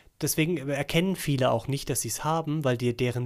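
This is a plain, everyday voice, a man's at a fairly high pitch with ordinary pitch variation. He talks at a fairly quick pace on a very clean recording with a silent background. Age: 40s. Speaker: podcast co-host. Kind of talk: casual chat.

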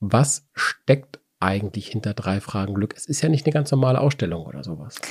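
A somewhat breathy man talks at a medium pitch and a fairly quick pace. His intonation is lively, and the sound is dry and close with no echo. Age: 40s. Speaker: wine podcast host. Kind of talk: casual chat.

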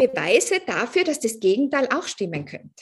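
A woman's voice with very wide pitch swings at a moderate pace, over a quiet background. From Austria, Tyrol. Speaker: coach. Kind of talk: interview.

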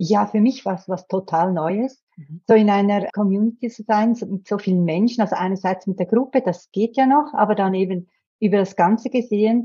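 A somewhat breathy woman at a medium pitch, moderate pace and ordinary pitch variation. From Switzerland. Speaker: therapist. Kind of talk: casual chat.

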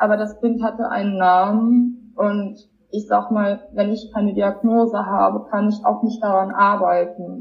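The speaker moves at a fairly slow pace with monotone, flat intonation. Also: woman, medium pitch for a woman. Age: 20s. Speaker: person with lived experience of borderline. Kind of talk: personal testimony interview.

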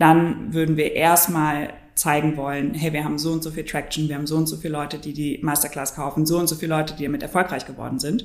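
In a room with audible echo, a woman talks with a very deep, low pitch. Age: 20s. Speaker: startup founder. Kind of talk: interview.

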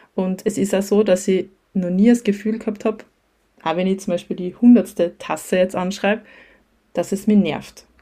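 A woman speaks at a moderate pace in a medium pitch, her tone dark and mellow. Her intonation stays flat and monotone, broken by long, frequent pauses. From Austria, Styria (near Graz). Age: 30s. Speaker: teacher and creative small-business owner. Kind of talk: casual interview.

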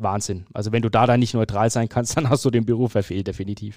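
Fairly even intonation and a fairly low pitch come from a man with a plain, everyday voice, captured on a very clean recording with a silent background. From Franconia, Germany (Fürth). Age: 30s. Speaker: sports journalist and stadium announcer. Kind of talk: casual interview.

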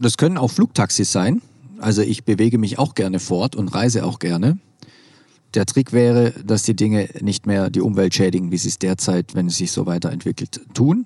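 With a dark, mellow tone, a man speaks at a fairly low pitch with ordinary pitch variation, the sound dry and close with no echo. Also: moderate pace. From Swabia, southwest Germany. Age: 40s. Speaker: nonprofit managing director and keynote speaker. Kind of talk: interview. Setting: at a conference.

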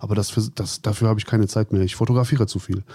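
A dark, mellow tone comes with a somewhat breathy quality. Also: man. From Germany, Cologne. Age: 40s. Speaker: cosplay photographer. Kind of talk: interview. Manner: halting, repeats words.

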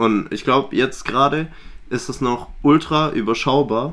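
Recorded very cleanly over a silent background, a man speaks at a fairly slow pace with ordinary pitch variation. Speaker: podcast co-host. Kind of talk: casual chat.

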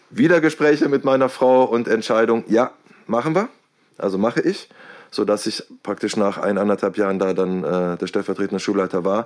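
Here is a man with a plain, everyday voice. He speaks at a medium pitch with lively intonation. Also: moderate pace. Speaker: deputy head teacher. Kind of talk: interview.

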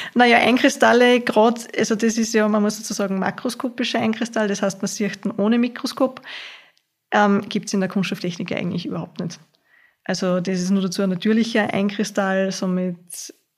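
Somewhat breathy, a woman speaks at medium pitch and a fairly quick pace with fairly even intonation. The recording is very clean, with a silent background. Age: 20s. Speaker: university student. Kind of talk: casual interview.

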